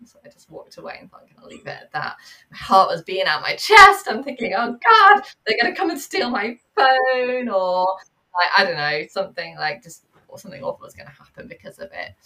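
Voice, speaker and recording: A woman talks with a Manchester accent. Her loudness swings widely. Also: fairly quick pace. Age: 30s. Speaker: therapist and mindfulness teacher. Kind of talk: casual interview chat. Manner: hesitant, many fillers.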